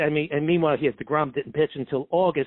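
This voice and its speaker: A man speaks with a New York accent. His pitch is fairly high. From New York City, Brooklyn. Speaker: sportswriter. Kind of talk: casual interview. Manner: halting, many fillers.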